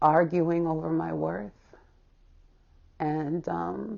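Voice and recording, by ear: A woman speaks with vocal fry at a low pitch. Her intonation stays fairly even.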